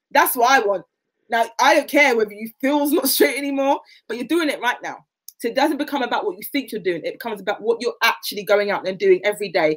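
A woman's high, animated voice with very wide pitch swings, a very fast pace and a quiet background. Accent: South London. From South London (Catford, Lewisham); South London. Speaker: athlete; guest. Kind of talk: interview.

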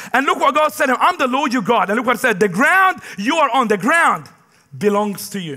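Raising and projecting his voice, a man with an extremely high pitch speaks at a fairly quick pace in an animated tone with very wide pitch swings. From Middle East. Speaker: pastor. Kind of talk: sermon. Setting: church. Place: church.

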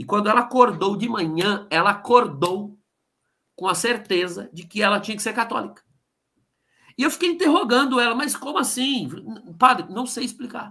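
With a raised, projected voice, a man speaks in a high, bright and sharp tone, his lively intonation and big swings in loudness broken by long, frequent pauses against a quiet background. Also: moderate pace. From Brazil, Osasco (São Paulo) with Ceará family; Brazil. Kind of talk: interview testimony. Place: home room.

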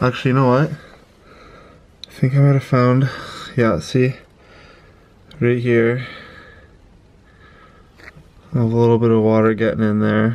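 A man speaks at a fairly slow pace with fairly even intonation. Long pauses come often. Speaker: bus conversion vlogger. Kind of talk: casual vlog chat. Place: bus. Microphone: phone near.

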